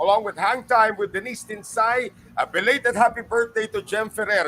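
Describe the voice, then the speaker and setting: At a fairly quick pace, a man speaks in a raised, projected voice with a high pitch. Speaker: podcast host. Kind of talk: podcast interview, Taglish.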